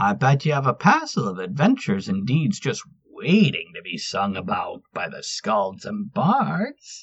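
In a put-on character voice at middle pitch, the speaker rushes on with hardly any pauses. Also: moderate pace. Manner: brash, teasing.

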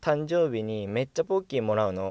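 A man speaks in an unremarkable speaking voice. The recording is very clean with a silent background, and the sound is dry and close with no echo. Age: 20s. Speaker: actor and radio personality. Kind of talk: solo casual monologue.

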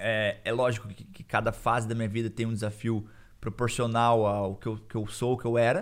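A man with a slight Curitiba accent talks with fairly even intonation. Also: medium pitch for a man, moderate pace, very clean recording, silent background. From Brazil, Curitiba. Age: 20s. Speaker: Brazilian immigrant. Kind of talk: casual chat.

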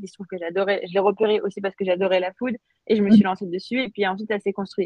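Medium in pitch with fairly even intonation, a woman has an unremarkable speaking voice. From France and Algeria (Paris and Algiers). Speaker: startup founder and CEO. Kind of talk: interview.

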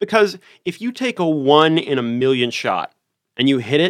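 On a very clean recording with a silent background, a man with an American accent has an unremarkable speaking voice, a fairly high pitch and lively intonation. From US South, Richmond, Virginia. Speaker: tabletop role-playing game enthusiast. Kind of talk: casual interview chat.

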